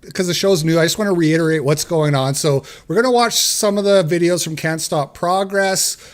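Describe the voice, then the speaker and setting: A man speaks loudly at a high pitch. Noticeable background noise runs underneath. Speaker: podcast host. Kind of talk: live stream talk show.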